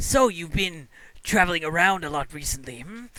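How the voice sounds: A man puts on a character voice with a high pitch. He keeps a moderate pace.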